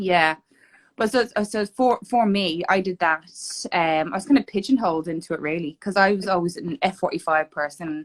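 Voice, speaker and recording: A woman with an Irish accent speaks at a moderate pace in a medium pitch with ordinary pitch variation, her sound dry and close with no echo. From Ireland, Dublin. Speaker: fitness competitor. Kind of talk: casual chat. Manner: animated.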